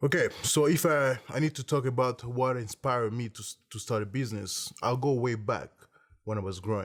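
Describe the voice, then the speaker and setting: A man with an African accent, medium pitch, moderate pace, ordinary pitch variation and big swings in loudness. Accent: African French-speaker accent in English. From Congo. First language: French. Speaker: entrepreneur, beverage company CEO. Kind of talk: interview monologue. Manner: halting, many fillers and repetitions.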